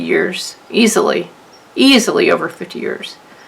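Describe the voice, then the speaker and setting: A woman talks at a moderate speed over noticeable background noise. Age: 60s. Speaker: craft youtuber. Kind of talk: tutorial. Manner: halting.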